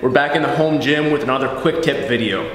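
Audible room echo surrounds this recording. A man speaks at a fairly quick pace. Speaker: fitness coach. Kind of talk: tutorial. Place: gym.

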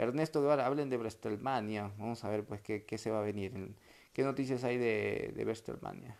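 The speech has fairly even intonation and a moderate pace. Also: man, medium pitch for a man. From Peru. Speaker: sports commentator doing a live stream. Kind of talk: casual livestream chat reading viewer comments. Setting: home livestream. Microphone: earbuds.

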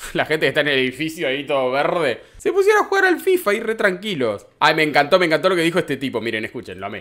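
Very fast pace from a male speaker. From Argentina. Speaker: entertainment news youtuber. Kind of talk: casual commentary on clips. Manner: animated. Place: home room. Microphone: studio mic.

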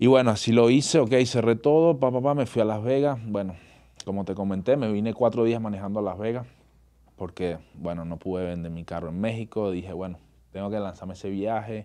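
Over a quiet background, a man speaks at a fairly quick pace with a fairly low pitch. His tone is dark and mellow, with ordinary pitch variation. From Venezuela (Caracas). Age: 30s. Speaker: actor and bodybuilder; actor. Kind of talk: casual interview. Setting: studio. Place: studio. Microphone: studio mic.

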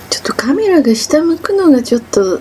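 Her pitch swings very widely as a woman speaks at a fairly slow pace over light background noise. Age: 50s. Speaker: cyclist vlogger. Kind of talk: casual vlog narration while cycling. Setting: outdoors. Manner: out of breath, effortful. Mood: playful, lightly self-mocking. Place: bicycle. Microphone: camera far.

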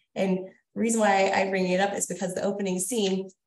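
A woman with an American accent talks at a fairly quick pace in a normal speaking voice with a medium pitch. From New Jersey. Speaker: poet and horror writer. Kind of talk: casual chat. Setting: video call.

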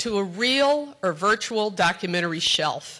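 Her intonation lively, a woman speaks at a fairly high pitch in a bright, sharp tone. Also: quiet background. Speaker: community TV executive director. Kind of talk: introductory speech. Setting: stage with audience. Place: hall. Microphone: podium.

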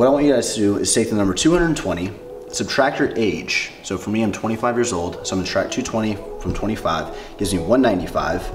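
A man speaks with clear music in the background. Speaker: fitness creator. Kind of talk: tutorial. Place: home room.

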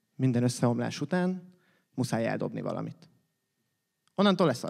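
With vocal fry and lively intonation, a man talks against a quiet background, leaving long, frequent pauses. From Hungary. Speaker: slam poet. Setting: stage with audience, competition. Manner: animated, playful, with comic sound effects and mimicry of phone rings and bus noises; fast, rhythmic delivery with punchy pauses and sarcastic, confessional turns. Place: stage. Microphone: studio mic.

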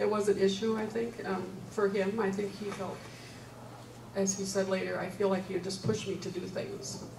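At a moderate pace, a woman talks at a medium pitch with ordinary pitch variation over noticeable background noise. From US Midwest. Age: 70s. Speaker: retired nurse, panelist; panelist. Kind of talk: church adult forum panel discussion. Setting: church. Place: hall.

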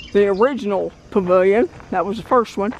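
The speech moves at a moderate pace with light background noise and a dry sound with no echo. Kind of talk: casual vlog commentary. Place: open country. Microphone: phone near.

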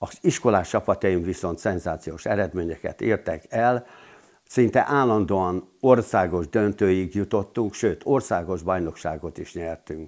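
Over a quiet background, a man with a very deep, low voice speaks at a fairly slow pace with ordinary pitch variation. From Hungary, Szeged; Hungary. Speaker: retired PE teacher and handball coach; retired PE teacher, handball coach. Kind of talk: interview testimony. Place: home room. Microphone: lapel.

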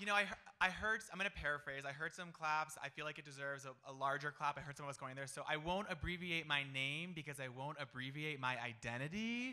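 Bright and sharp in tone, this voice races along at a very fast pace with an American accent. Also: man, fairly high pitch for a man, ordinary pitch variation. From Florida. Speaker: storytelling event MC and facilitator; storytelling event MC, facilitator. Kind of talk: event emceeing. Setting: stage with audience. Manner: animated. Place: stage. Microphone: handheld.

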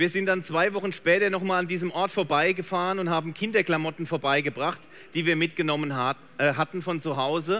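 A man's high-pitched voice with a bright, sharp tone and ordinary pitch variation. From Germany. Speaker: photographer; presenter. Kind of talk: live demo talk. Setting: trade fair stage with audience. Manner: animated. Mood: warm, enthusiastic storytelling. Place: stage.

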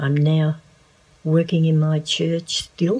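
A woman with an Australian accent speaks at a very slow pace in a very deep, low voice. The background is quiet. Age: 70s. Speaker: church volunteer. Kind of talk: testimony. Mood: warm, blessing tone. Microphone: phone near.

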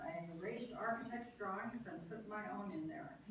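Lively intonation comes at a fairly quick pace, with audible room echo and noticeable background noise. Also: woman. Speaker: World War II shipyard draftsman, park docent. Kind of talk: oral history talk. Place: meeting room. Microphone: camera far.

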